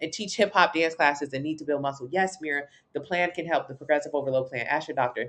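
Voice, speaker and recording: A woman talks at a very fast pace in an animated tone. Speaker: fitness coach. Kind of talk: live stream Q&A.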